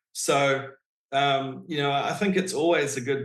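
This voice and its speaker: This man has a fairly high pitch and a New Zealand accent. He speaks at a moderate pace. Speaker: real estate agent. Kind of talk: interview answer.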